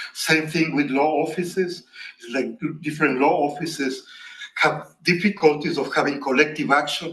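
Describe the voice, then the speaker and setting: There is noticeable background noise behind a man speaking at a moderate pace. His fairly high voice keeps a fairly even intonation. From Latin America. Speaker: professor. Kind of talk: academic Q&A answer.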